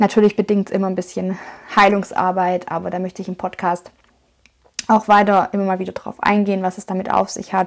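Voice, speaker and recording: Speaking at a fairly quick pace, a woman keeps her medium-pitched voice monotone and flat. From Swabia, Germany (Schwäbisch Hall). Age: 30s. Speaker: podcaster and life coach. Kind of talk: motivational monologue. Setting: home.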